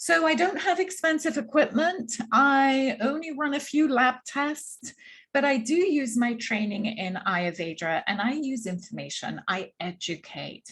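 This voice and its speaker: Against a quiet background, a woman with a slight English accent speaks at a fairly slow pace with very wide pitch swings. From London, England. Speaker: Ayurveda practitioner. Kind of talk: workshop presentation.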